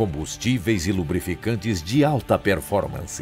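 A man with a fairly low pitch speaks at a fairly slow pace, his pitch swinging very widely. Music plays in the background. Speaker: voice actor. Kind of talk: corporate narration. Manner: authoritative, credible.

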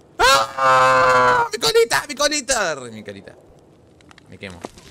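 A man puts on a shrill character voice at medium pitch. He speaks at a fairly slow pace. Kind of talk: cartoon dubbing. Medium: fan dub. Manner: boastful, then shrieking in panic.

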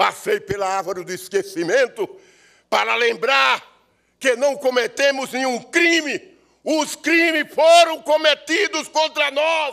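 A man's raised, projected voice, extremely high in pitch with very wide pitch swings and a bright, sharp tone, at a very slow pace over a quiet background. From Sergipe, Brazil. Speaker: actor, writer and poet. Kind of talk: performed poem, declaimed with solemn oratorical gravity at an award ceremony. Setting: ceremony in legislative assembly. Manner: solemn, impassioned, rhythmic and incantatory delivery, like a ritual invocation. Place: hall. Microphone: podium.

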